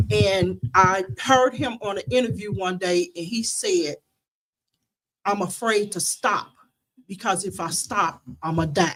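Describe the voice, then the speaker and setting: With vocal fry and lively intonation, a woman speaks through long, frequent pauses. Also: medium pitch for a woman, fairly slow pace. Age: 60s. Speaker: family member guest on radio show. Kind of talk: casual chat.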